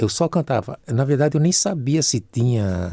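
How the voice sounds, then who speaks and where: A man speaks at a medium pitch in a dark, mellow, somewhat breathy tone, with very wide pitch swings, in a dry, close recording that is very clean with a silent background. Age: 70s. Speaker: singer and musician. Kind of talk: casual chat.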